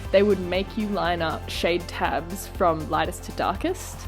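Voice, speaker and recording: A woman with an Australian accent speaks in a room with audible echo while music plays in the background. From rural New South Wales, Australia. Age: 20s. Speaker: dentist. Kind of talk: vlog monologue.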